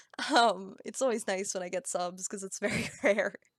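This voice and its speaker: A woman talks at a moderate pace and medium pitch. Her sound is dry and close, with no echo. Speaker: streamer. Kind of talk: casual live-stream chat while drawing. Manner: stumbles over words.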